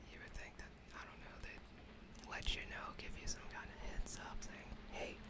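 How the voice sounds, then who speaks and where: Over noticeable background noise, someone whispers fairly slowly. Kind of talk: ASMR gaming commentary. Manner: whispered, soft-spoken.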